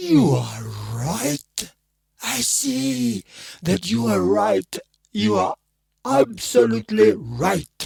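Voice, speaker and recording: Using a put-on character voice at medium pitch, a man speaks very slowly with very wide pitch swings and long, frequent pauses, in a dry, close sound with no echo. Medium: read story. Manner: brooding, intense.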